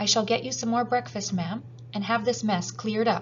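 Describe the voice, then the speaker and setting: A woman's shaky put-on character voice, medium in pitch, at a fairly quick pace with clear background noise. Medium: read story. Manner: deferential, trembling.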